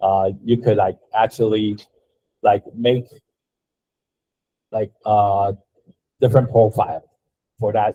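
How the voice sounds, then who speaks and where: Very slowly and with long, frequent pauses, a man speaks in a somewhat breathy, fairly low voice with monotone, flat intonation. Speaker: design instructor. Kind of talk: lecture. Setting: classroom. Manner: halting.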